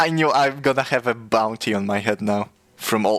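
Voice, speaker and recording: A man speaks with a Polish accent. His pitch is fairly low. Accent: Polish accent, noticeable. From Poland. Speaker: streamer. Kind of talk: casual chat. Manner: halting, frequent stutters and restarts.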